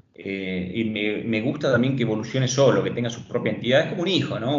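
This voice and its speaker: A man talks amid noticeable background noise, with room echo audible around him. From Tucumán, Argentina. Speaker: entrepreneur. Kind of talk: interview. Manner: halting, many repetitions.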